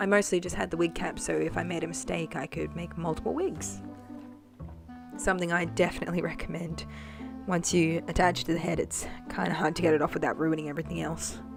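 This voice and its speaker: A woman with an Australian accent at a moderate pace, music in the background. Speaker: doll customiser. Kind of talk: tutorial voice-over. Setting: voice-over. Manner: casual, hesitant.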